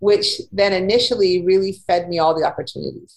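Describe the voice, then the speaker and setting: In a Canadian accent, a woman speaks at a moderate pace with medium pitch and ordinary pitch variation, a plain, everyday voice. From Winnipeg, Manitoba, Canada. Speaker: career coach and freelance writer. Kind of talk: casual interview.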